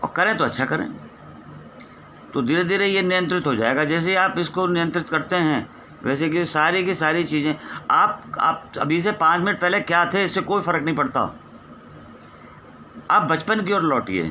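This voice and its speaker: A man talks in a high voice with ordinary pitch variation and very even loudness. Noticeable background noise runs underneath. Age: 60s. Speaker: spiritual teacher. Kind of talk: spiritual discourse.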